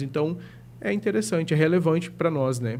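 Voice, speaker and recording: Amid audible room echo, a man with a dark, mellow tone speaks at a moderate pace with lively intonation. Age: 30s. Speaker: psychologist. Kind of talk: podcast interview.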